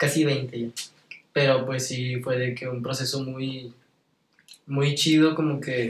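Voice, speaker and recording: Moderate speed with flat, monotone intonation. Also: man. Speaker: singer and musician. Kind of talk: casual chat.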